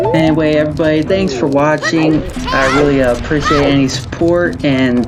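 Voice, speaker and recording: A Southern US accent over noticeable background noise. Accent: southern US drawl. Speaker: gaming and language-learning YouTuber. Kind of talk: casual video commentary. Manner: casual, halting with fillers.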